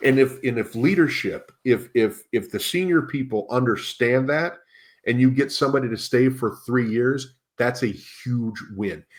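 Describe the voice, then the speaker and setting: In a plain, everyday voice with an American accent, a man speaks at a medium pitch and moderate pace with ordinary pitch variation. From US Midwest. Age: 50s. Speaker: leadership coach. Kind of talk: podcast interview.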